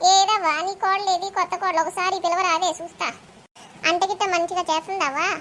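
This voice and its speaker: A woman puts on a cartoonish character voice at an extremely high pitch. Her intonation is monotone and flat. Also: moderate pace. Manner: chatty, sympathetic.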